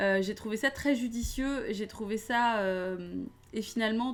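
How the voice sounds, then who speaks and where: A woman's fairly high voice, with ordinary pitch variation, comes through a very clean recording over a silent background. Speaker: film reviewer streamer. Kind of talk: live stream film debrief. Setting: live stream. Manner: hesitant, many fillers.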